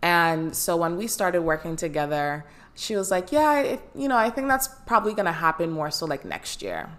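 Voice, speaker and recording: Lively intonation marks this woman's fairly low voice. Her tone is animated and warm. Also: moderate pace. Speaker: life coach and podcast host. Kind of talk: solo podcast monologue, coaching talk. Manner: animated, warm, enthusiastic.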